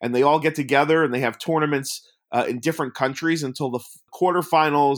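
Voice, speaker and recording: A man with an American accent, fairly high-pitched and very fast, with fairly even intonation, on a very clean recording with a silent background. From US Northeast, Long Island, New York. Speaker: documentary filmmaker. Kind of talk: casual interview.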